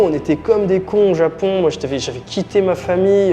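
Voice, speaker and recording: Over music in the background, a man talks at a fairly quick pace with a high pitch and ordinary pitch variation. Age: 30s. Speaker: strength and conditioning coach. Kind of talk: interview.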